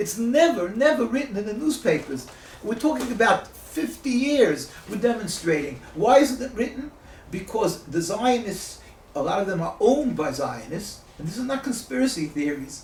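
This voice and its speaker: The voice moves at a moderate pace with very wide pitch swings. Audible room echo and noticeable background noise fill the recording. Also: man, high pitch for a man. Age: 60s. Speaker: rabbi and activist. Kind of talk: interview. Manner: halting, many fillers.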